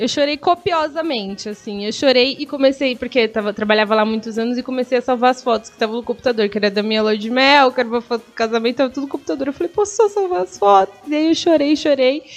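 Very fast and with hardly any pauses, a woman speaks in a high pitch with lively intonation. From São Paulo state, Brazil (Guarulhos). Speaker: stand-up comedian. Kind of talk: casual interview chat. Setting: live radio/online stream.

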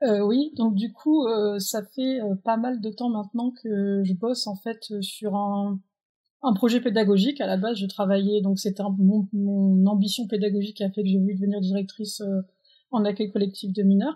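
With music in the background, a woman speaks at a moderate pace in a fairly even intonation. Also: medium pitch for a woman. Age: 20s. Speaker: president of a holiday camp organisation. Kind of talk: interview.

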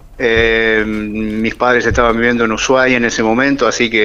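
A man's medium-pitched voice at a moderate pace. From Argentina, Rosario (Santa Fe). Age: 60s. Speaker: writer and retired biologist. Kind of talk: radio interview.

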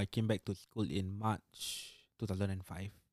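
In a Singaporean accent, a man speaks at a fairly low pitch with ordinary pitch variation, captured in a very clean recording with a silent background and a dry, close sound with no echo. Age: 20s. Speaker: road accident survivor. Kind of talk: testimony.

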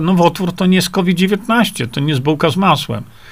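The man's voice comes across as somewhat breathy. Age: 60s. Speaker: independent journalist and health author. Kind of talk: live stream talk reading viewer comments. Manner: hesitant with fillers.

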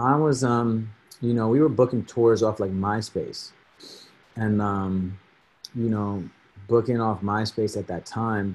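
Speaking with an American accent, a man moves at a very slow pace with long, frequent pauses. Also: medium pitch for a man, fairly even intonation. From New Jersey (Edison). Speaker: rapper. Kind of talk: casual chat.

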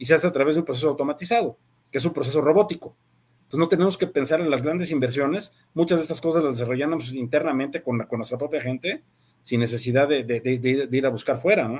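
Very fast and fairly high-pitched, a man talks with ordinary pitch variation. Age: 60s. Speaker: business executive. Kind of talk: interview. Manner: halting, frequent word repetitions.

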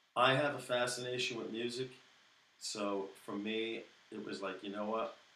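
A man with an American accent talks at a moderate pace, with audible room echo around his voice. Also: medium pitch for a man, fairly even intonation. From US Northeast, Brooklyn, New York. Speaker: musician, guitarist and singer-songwriter. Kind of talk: casual interview chat.

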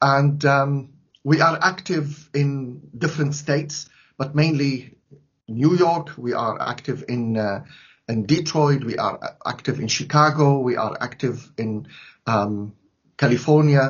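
A man speaks very slowly at a fairly high pitch. His voice is somewhat breathy, with ordinary pitch variation. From Syria. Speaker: priest and charity director. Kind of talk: interview.

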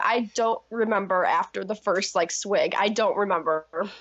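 At a moderate pace, a woman speaks with noticeable background noise behind her. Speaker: former pageant contestant. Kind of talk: casual interview chat.

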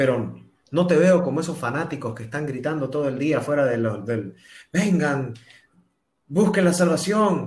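In a room with audible echo, a man with a fairly high, somewhat breathy voice speaks with lively intonation. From Bolivia, Santa Cruz. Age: 30s. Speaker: singer-songwriter and TV presenter. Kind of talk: interview testimony. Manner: halting with repetitions.

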